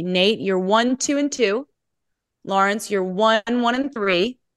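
A woman speaks at a fairly slow pace in a plain, everyday voice with lively intonation. The sound is dry and close with no echo, over a quiet background. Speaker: podcast host. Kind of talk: casual podcast chat.

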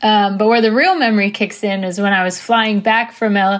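A woman's normal speaking voice at a medium pitch, with an American accent and fairly even intonation, on a very clean recording with a silent background. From Washington DC area. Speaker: listener sending a voice memo. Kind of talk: recorded voice memo.

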